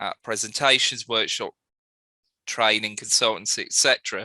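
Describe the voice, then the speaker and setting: A man's bright, sharp tone comes through with a dry, close sound, no echo, and a quiet background. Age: 30s. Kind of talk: presentation. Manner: halting.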